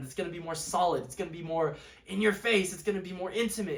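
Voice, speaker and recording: With noticeable background noise and audible room echo, a high-pitched man talks at a very fast pace. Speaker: music reviewer YouTuber. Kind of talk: casual monologue review. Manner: animated.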